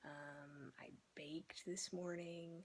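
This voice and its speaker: A woman is whispering. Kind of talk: casual reading vlog talk to camera. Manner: whispered.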